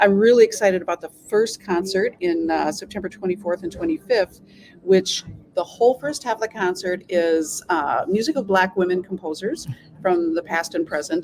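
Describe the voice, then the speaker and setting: A woman with an Upper Midwest accent, medium in pitch, ordinary in pitch variation, at a moderate pace. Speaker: symphony orchestra staff, arts administrator. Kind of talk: casual interview chat. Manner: animated.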